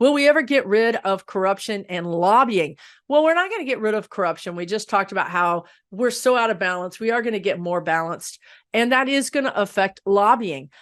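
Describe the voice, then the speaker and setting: Over a quiet background, a woman uses a normal speaking voice at a fairly quick pace, her fairly high pitch carried by lively intonation. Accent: American. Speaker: psychic-medium answering political questions. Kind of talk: channeled Q&A monologue.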